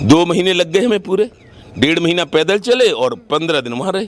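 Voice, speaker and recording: A man with a high-pitched voice. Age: 70s. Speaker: farmer union leader. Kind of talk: interview. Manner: animated.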